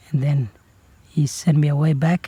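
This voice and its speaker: Somewhat breathy and fairly high for a man, his dark, mellow tone moves at a fairly slow pace with fairly even intonation. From Northern Territory, Australia. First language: Kriol. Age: 20s. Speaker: singer-songwriter. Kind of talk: testimony. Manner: halting.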